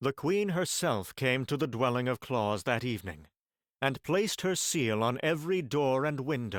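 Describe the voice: Over a quiet background, plain reading aloud with lively intonation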